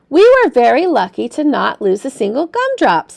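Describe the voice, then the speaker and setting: A woman puts on a character voice at a moderate pace. Her pitch sits high. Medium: read story.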